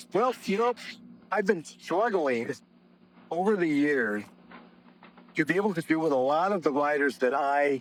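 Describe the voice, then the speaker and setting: Amid noticeable background noise, a man speaks at a fairly slow pace with very wide pitch swings. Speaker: copywriter. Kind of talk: interview.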